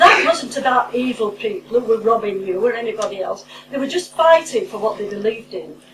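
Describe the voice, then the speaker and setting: A woman's fairly high-pitched voice with lively intonation, over noticeable background noise. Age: 70s. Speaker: former MP and campaign speaker. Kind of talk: public speech at meeting. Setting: public meeting with audience. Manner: impassioned.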